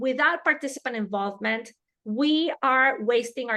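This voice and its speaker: Her tone bright and sharp, a woman speaks with a fairly high pitch. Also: quiet background. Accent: Spanish. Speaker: harm reduction trainer. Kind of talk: webinar lecture.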